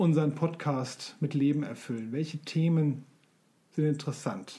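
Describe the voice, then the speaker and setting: A man's fairly high, somewhat breathy voice with a dark, mellow tone, at a very slow pace. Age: 40s. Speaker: podcast co-host, self-employed sign maker. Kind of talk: casual chat. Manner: hesitant, many fillers.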